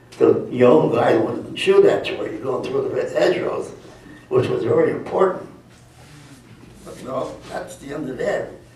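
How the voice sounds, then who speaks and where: A man with an American accent speaks at a moderate pace, with long, frequent pauses and big swings in loudness. Noticeable background noise and audible room echo fill the recording. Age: 90s. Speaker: war veteran. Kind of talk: testimony. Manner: halting.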